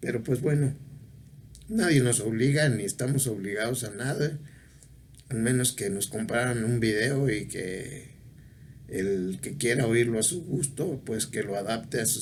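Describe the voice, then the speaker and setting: Somewhat breathy, the voice moves at a fairly slow pace with ordinary pitch variation amid audible room echo. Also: man. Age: 70s. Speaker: video blogger. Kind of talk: casual monologue. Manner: halting.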